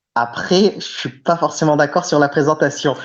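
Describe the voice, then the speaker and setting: A man's fairly high-pitched voice. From France, Clermont-Ferrand. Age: 30s. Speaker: victim's brother, activist. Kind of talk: interview. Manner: hesitant, many fillers.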